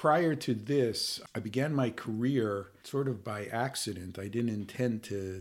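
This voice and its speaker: This is a plain, everyday voice with an American accent, at a moderate pace and with ordinary pitch variation. The recording is very clean, with a silent background. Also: man. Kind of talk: interview conversation.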